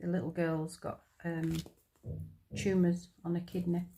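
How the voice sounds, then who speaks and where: A woman with a strong northern English accent speaks in a fairly low pitch at a moderate pace. Her tone is dark and mellow, her intonation monotone and flat. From northern England. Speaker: crafter, retired nurse. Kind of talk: casual chat while crafting. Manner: hesitant, with many ums and repeats.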